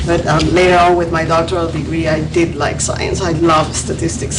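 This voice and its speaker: At a moderate pace, a woman with a slight Peruvian accent talks through noticeable background noise and audible room echo. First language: Spanish. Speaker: psychologist. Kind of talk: lecture. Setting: room with audience, mic recording. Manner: soft-spoken; halting.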